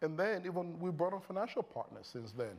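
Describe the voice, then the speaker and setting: A man talks at a fairly quick pace with a Nigerian accent. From Nigeria (Lagos). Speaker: tech company founder and CEO. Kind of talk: on-stage interview. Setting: stage with audience. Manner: conversational, many fillers.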